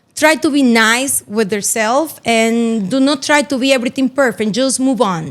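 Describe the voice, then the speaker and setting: A woman speaks at a high pitch with a Spanish accent. Her loudness stays very even. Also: ordinary pitch variation, moderate pace. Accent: Spanish accent, noticeable. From Dominican Republic, Santiago. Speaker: real estate broker. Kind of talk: interview.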